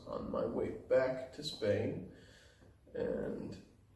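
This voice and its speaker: A man speaks quietly in a relaxed tone. There is noticeable background noise and audible room echo. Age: 20s. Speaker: backpacker and hostel volunteer. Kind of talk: casual interview. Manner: quiet, low volume.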